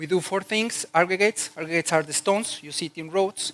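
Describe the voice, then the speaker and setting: A man speaks with a Mexican accent and ordinary pitch variation. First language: Spanish. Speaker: corporate HR executive. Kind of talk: conference talk. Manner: hesitant, many fillers.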